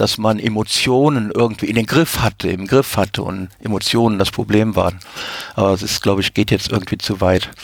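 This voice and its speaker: In a very clean recording with a silent background, a man with a fairly low pitch speaks at a moderate pace in a plain, everyday voice. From Africa. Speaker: science fiction reader. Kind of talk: panel discussion.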